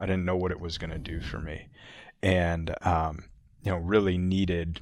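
In an American accent, a man with a very deep, low pitch talks at a fairly slow pace with fairly even intonation, and the room echo is audible. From Northern New Jersey. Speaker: motorsports business owner. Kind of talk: interview. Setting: conference room. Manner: halting.

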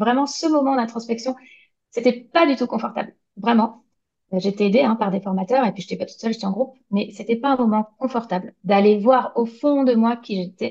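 At a fairly quick pace, a woman speaks in a dark, mellow tone, fairly high in pitch, with ordinary pitch variation. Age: 40s. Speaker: graphic designer and illustrator. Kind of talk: interview. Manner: hesitant.

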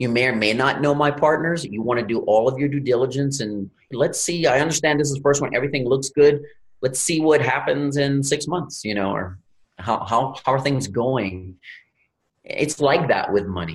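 The speaker talks at a moderate pace in an American accent, somewhat breathy, with ordinary pitch variation. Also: man, fairly high pitch for a man. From Louisiana, US Gulf Coast. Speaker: real estate investor. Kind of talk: podcast interview.

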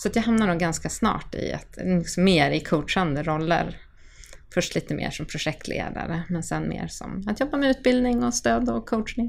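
At a moderate pace, a woman with a fairly low pitch and vocal fry speaks with very wide pitch swings. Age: 40s. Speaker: agile coach and trainer. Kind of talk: podcast interview.

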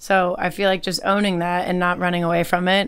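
The woman's pitch is fairly low. She talks at a moderate pace. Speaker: podcast host and singer. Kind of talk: casual interview chat. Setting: outdoors on a beach in Mexico for the intro.

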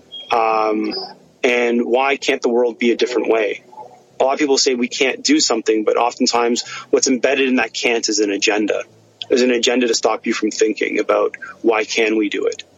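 The speech moves at a fairly quick pace with very even loudness. Noticeable background noise can be heard. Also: man. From Egypt-born, raised in Canada. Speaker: scientist and innovation entrepreneur. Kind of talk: interview conversation. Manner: halting, many fillers.

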